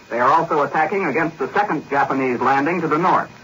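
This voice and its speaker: Over noticeable background noise, a man speaks very fast. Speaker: London radio news correspondent. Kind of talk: 1940s radio news correspondent report. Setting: shortwave radio broadcast from London.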